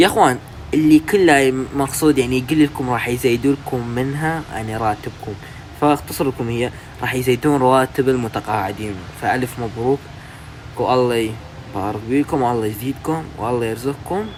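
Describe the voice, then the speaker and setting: There is noticeable background noise behind this man. He speaks at a moderate pace and a medium pitch. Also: ordinary pitch variation. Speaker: YouTuber explaining news. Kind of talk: casual news explainer. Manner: halting.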